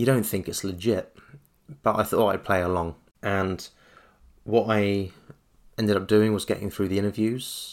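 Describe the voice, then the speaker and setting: On a very clean recording with a silent background, a man with a fairly low pitch and a southern English accent speaks at a moderate pace with fairly even intonation. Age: 30s. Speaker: podcast host. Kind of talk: solo podcast monologue.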